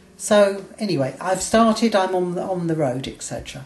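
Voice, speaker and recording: Noticeable background noise surrounds a woman speaking. Her intonation is lively and her pace moderate. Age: 60s. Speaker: vlogger, weight loss surgery patient. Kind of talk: video diary. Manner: halting.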